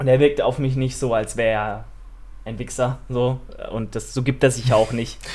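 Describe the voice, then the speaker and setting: A man's somewhat breathy voice at medium pitch, monotone with flat intonation, at a moderate pace. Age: 20s. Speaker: fitness podcast host. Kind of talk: casual chat.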